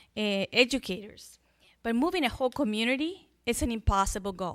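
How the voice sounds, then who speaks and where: With a Spanish accent, a woman speaks at a fairly slow pace in a fairly high voice with lively intonation. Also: dry, close sound with no echo. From Chile. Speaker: school superintendent. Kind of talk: public speech.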